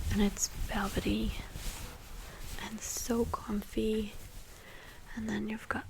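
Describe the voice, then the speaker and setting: A woman speaks softly. Noticeable background noise runs behind her. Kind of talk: ASMR show-and-tell. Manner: soft-spoken.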